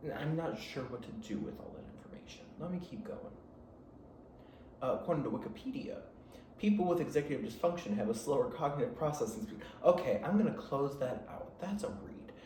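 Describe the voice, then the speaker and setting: A man with an American accent and a high pitch speaks in an animated tone at a fairly quick pace, with very wide pitch swings and big swings in loudness. Noticeable background noise and audible room echo fill the recording. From Michigan, south of Detroit. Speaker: podcast host. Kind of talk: casual chat. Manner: rambling, animated.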